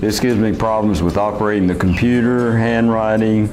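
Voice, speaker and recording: The clip has music in the background and audible room echo. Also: man. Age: 70s. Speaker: person with Parkinson's sharing experience. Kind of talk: video blog talk to camera.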